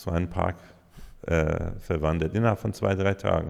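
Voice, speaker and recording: This man's voice sits very deep and low. Pitch shifts through it in an ordinary way. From Iran. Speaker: DJ and music producer. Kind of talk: interview answer.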